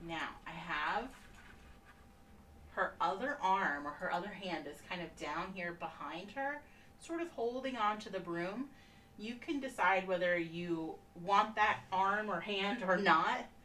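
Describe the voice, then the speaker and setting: A soft-spoken woman at a fairly slow pace with lively intonation, amid noticeable background noise and audible room echo. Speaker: painting instructor. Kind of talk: tutorial. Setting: live stream. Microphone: no microphone, may sound too low.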